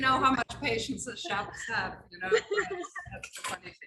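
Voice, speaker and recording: A woman speaks with a non-native accent. Her pitch is high. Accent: foreign accent, noticeable. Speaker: chef. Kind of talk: cooking demonstration. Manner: chatty, anecdotal.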